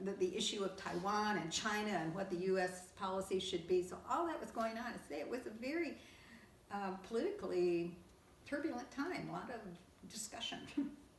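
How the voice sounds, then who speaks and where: Noticeable background noise behind moderately paced speech full of lively intonation. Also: woman, medium pitch for a woman. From Kentucky. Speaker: League of Women Voters lifetime member. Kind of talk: oral history interview answer.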